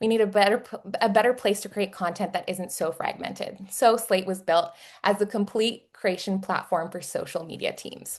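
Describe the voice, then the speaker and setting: This woman speaks with a Texas accent. Her loudness swings widely. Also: medium pitch for a woman, moderate pace. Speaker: webinar host and company marketer. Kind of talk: live webinar hosting, casual; company promo pitch. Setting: online webinar video call. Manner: animated, upbeat.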